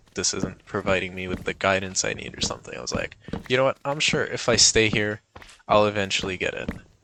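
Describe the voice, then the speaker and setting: There is noticeable background noise as a man speaks at a fairly low pitch. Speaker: gaming youtuber. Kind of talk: casual vlog chat over gameplay. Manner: animated, excited; mumbling at times.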